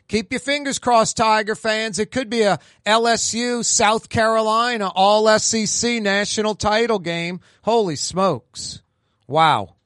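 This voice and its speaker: In a high pitch, a man talks fairly slowly with ordinary pitch variation, in a dry, close sound with no echo and a quiet background. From New Orleans. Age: 50s. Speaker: talk radio and TV host. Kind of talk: talk radio monologue. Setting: studio.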